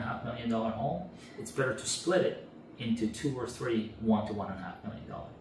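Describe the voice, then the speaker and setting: At a fairly quick pace, a man talks with audible room echo and light background noise. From Canada. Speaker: real estate rental expert. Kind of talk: interview. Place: home room.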